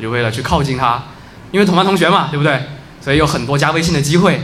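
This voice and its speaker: A man speaks with ordinary pitch variation. Audible room echo and noticeable background noise surround his voice. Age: 20s. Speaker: storyteller at live story event. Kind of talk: storytelling to live audience. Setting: stage with audience.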